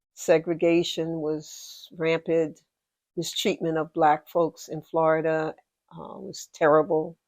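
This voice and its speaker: The sound is dry and close with no echo. A woman talks at a very slow pace in a monotone, flat intonation. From US Northeast, Philadelphia. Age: 70s. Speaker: interviewee. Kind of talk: personal life-story interview.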